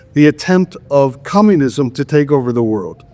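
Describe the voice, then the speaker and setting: With music in the background, a man speaks at a fairly slow pace using lively intonation. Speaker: lecturer and project founder. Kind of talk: lecture. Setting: conference room with live audience. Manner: halting, many restarts.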